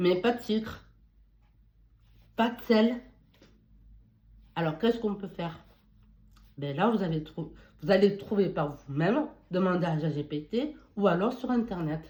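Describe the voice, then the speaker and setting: A woman with a medium pitch and a dark, mellow, somewhat breathy tone uses lively intonation, her loudness swinging widely. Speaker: beauty and wellness advice youtuber. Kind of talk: casual advice monologue. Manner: halting, with false starts.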